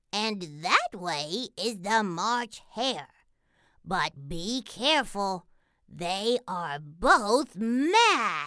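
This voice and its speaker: At a very slow pace, a female-sounding put-on character voice speaks at medium pitch for a woman. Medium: read story.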